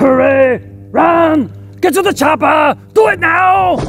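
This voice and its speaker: While music plays in the background, a man talks at a fairly slow pace. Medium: comedy sketch. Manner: shouting, urgent.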